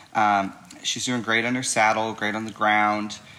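With monotone, flat intonation and a fairly low pitch, a man talks over noticeable background noise. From Illinois side of the St. Louis area. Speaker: mustang trainer. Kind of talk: casual chat.

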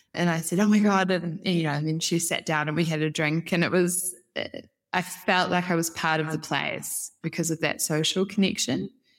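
Speaking with a New Zealand accent, a woman uses a fairly low pitch and fairly even intonation at a moderate pace, captured on a very clean recording with a silent background. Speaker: head of brand at a housing developer. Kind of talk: podcast interview.

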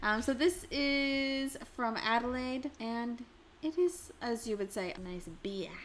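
A woman's high-pitched, very slow speech amid noticeable background noise. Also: lively intonation. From Canada. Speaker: podcast host. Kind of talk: casual chat. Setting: indoors at a table, heavy rain outside.

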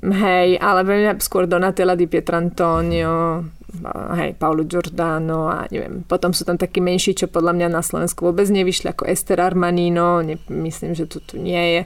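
A woman speaks at a moderate pace in a fairly low, monotone voice with flat intonation. The recording is very clean and the background silent. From Slovakia. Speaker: novelist. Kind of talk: interview. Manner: halting.

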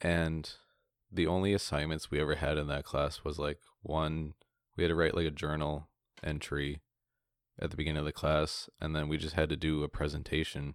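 On a very clean recording with a silent background, a man with a very deep, low pitch speaks at a fairly quick pace with monotone, flat intonation. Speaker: podcast co-host, student. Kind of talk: casual chat.

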